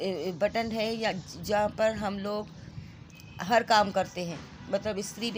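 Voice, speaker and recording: A woman's somewhat breathy voice holds a medium pitch with monotone, flat intonation. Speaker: vlogger. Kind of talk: casual vlog narration. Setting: at home.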